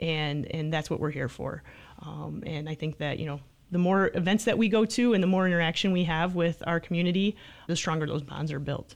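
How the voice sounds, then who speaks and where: A woman's normal speaking voice, fairly low in pitch, at a fairly quick pace with ordinary pitch variation. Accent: American. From Michigan. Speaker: police sergeant. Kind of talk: radio interview. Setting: studio.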